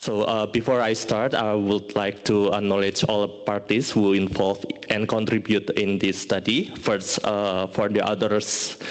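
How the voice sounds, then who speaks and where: The delivery is fairly slow, with a monotone, flat intonation. Noticeable background noise runs underneath. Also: man, fairly low pitch for a man, very even loudness. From Indonesia. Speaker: statistician. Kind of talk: conference presentation. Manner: halting.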